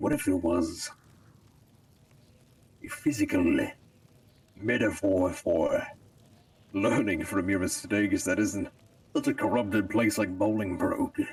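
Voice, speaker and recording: A man uses a put-on character voice. He goes at a fairly slow pace with long, frequent pauses. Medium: game stream. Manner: grandiose, dark.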